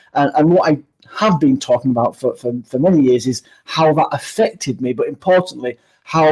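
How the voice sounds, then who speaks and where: Speaking in a Yorkshire accent, a man with a fairly high pitch keeps a moderate pace and ordinary pitch variation. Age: 50s. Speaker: keynote speaker. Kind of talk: interview. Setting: live stream video.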